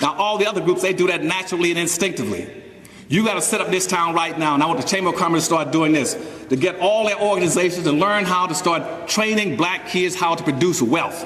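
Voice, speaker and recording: A man talks very fast in a high-pitched voice. The room echoes audibly, and background noise is noticeable. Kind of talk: speech to a live audience. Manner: animated.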